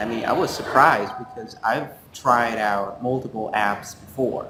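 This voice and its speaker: A man with a Vietnamese accent talks with ordinary pitch variation over noticeable background noise and audible room echo. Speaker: student co-host. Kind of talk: casual review chat. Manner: halting, many fillers.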